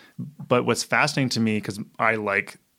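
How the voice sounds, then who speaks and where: A man's voice at medium pitch carries vocal fry. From Canada. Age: 40s. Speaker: author. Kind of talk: casual chat.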